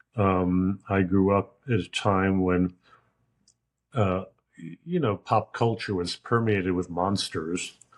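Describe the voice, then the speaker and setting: A man's very deep, low voice with an American accent, fairly even intonation and a very slow pace. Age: 70s. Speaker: true crime author and retired literature professor. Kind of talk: interview conversation.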